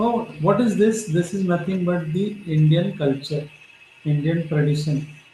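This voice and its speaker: Through noticeable background noise and audible room echo, a man with a high voice speaks at a fairly slow pace with ordinary pitch variation. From Maharashtra, India. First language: Marathi. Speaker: professor. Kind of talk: lecture.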